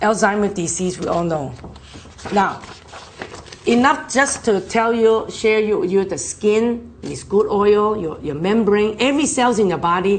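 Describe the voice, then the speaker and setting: Through audible room echo and noticeable background noise, a woman talks at a fairly slow pace with lively intonation. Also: medium pitch for a woman. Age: 60s. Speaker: nutrition product presenter. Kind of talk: health seminar talk. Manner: animated.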